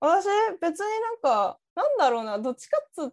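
A woman's voice with very wide pitch swings, in a dry, close sound with no echo. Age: 30s. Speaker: podcast co-host. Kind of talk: casual chat.

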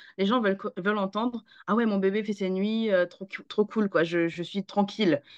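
A woman with a plain, everyday voice, fairly even intonation and a fairly quick pace against a quiet background. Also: dry, close sound with no echo. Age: 30s. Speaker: parenting coach. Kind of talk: casual chat.

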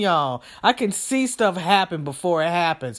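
The speaker sounds furious at a moderate pace. The recording is very clean with a silent background. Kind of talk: angry rant. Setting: solo podcast, talking alone to the audience. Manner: furious, loud, emphatic, swearing and repeating for emphasis; preachy, convinced, talking directly to listeners.

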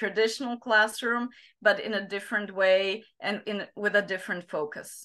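A woman talks with a Slovak accent. Her pitch is medium and her intonation fairly even. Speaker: psychologist and teacher trainer. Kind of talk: interview. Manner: halting, many fillers.

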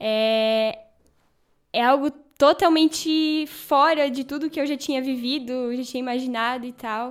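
A woman's high voice at a fairly slow pace, with fairly even intonation. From Santa Catarina, Brazil. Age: 20s. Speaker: Bible course student. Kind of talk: casual chat.

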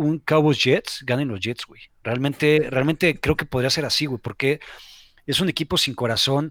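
A man speaks with a Mexico City accent and a fairly high pitch. The recording is very clean, with a silent background. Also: dry, close sound with no echo. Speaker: sports entrepreneur. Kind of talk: casual chat.

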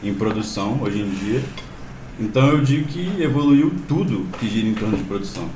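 Lively intonation marks a man's medium-pitched voice, heard with noticeable background noise and audible room echo. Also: moderate pace. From Belo Horizonte, Minas Gerais. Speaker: musician. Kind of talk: casual chat. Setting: live stream video call.

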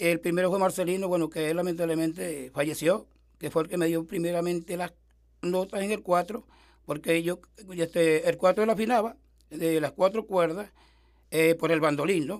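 Speaking at a moderate pace, a man uses a high pitch and fairly even intonation. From eastern Venezuela, rural mountains of Sucre. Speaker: folk musician. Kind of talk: life-story interview. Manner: halting.

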